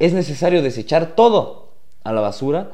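Audible room echo surrounds a man speaking at a moderate pace in a dark, mellow tone. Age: 20s. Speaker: podcast host. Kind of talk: personal monologue.

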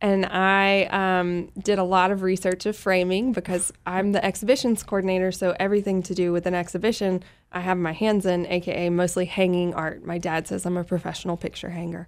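A fairly quick, monotone delivery with flat intonation, in a very clean recording with a silent background. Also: woman, medium pitch for a woman. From Louisiana (Monroe). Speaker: visual artist. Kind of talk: casual interview.

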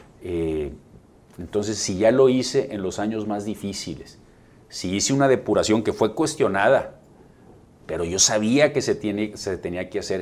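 An unremarkable speaking voice, ordinary pitch variation and a moderate speed. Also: man. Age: 40s. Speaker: mayor running for re-election. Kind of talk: interview.

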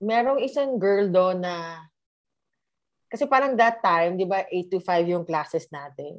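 Lively intonation marks the delivery. It is an ordinary speaking voice. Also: woman, medium pitch for a woman. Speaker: guest sharing relationship story. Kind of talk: casual chat, personal story.

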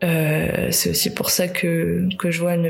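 A woman's fairly low voice amid noticeable background noise. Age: 30s. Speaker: podcaster. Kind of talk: personal monologue. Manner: halting.

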